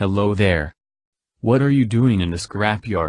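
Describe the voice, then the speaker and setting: A man performs a put-on character voice. The background is quiet. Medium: read story.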